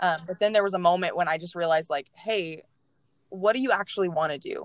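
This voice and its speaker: A woman with a Texan accent speaks at a fairly quick pace with ordinary pitch variation. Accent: Texan American. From Texas, Mansfield. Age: 20s. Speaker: church communications staff. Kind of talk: casual interview, personal testimony.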